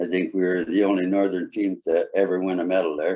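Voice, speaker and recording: A man talks with a Canadian accent. His pitch is fairly low. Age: 60s. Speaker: municipal council candidate. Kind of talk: candidate forum statement. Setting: video call.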